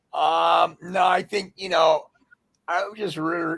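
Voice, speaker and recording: A man speaks with vocal fry at a fairly slow pace. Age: 50s. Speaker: DJ. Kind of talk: casual interview chat.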